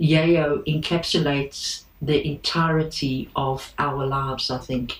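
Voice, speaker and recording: A woman speaks with a very deep, low pitch. Her intonation is fairly even. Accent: South African. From South Africa. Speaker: boat owner. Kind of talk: interview.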